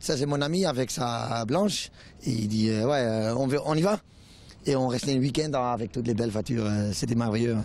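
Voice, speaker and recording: With ordinary pitch variation, the man keeps his delivery at a moderate pace. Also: medium pitch for a man, very even loudness. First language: Dutch (speaking French). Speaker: car enthusiast at event. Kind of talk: street interview. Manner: halting.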